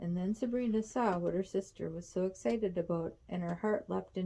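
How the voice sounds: A natural reading voice carries ordinary pitch variation from line to line.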